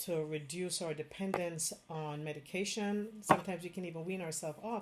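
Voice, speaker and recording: Using a Jamaican accent, a woman speaks at a moderate pace with fairly low pitch and ordinary pitch variation. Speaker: Chinese medicine doctor. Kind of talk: direct-to-camera health talk. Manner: casual, with fillers.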